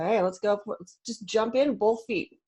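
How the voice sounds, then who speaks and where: A woman's fairly high voice over a quiet background. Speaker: Xactimate trainer for contractors, former adjuster; Xactimate trainer for contractors. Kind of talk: webinar presentation. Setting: video call. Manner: fast-talking. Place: home room.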